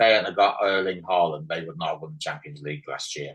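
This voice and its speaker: A man with an English accent talks at a very fast pace and fairly low pitch. His intonation is lively, and the background is quiet. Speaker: podcast host. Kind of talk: casual chat.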